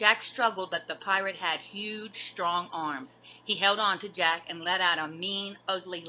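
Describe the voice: Reading aloud, plainly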